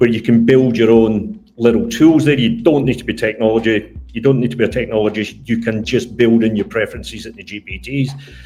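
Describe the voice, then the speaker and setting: This man talks at a fairly quick pace with hardly any pauses, his medium pitch held to fairly even intonation. His dark, mellow, somewhat breathy tone carries a Scottish accent and big swings in loudness. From Scotland. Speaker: tourism entrepreneur. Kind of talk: interview on live stream.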